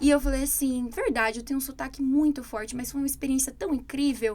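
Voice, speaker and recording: Her pitch high and her variation ordinary, a woman talks at a fairly quick pace. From Brazil. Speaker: English teacher. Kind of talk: casual chat.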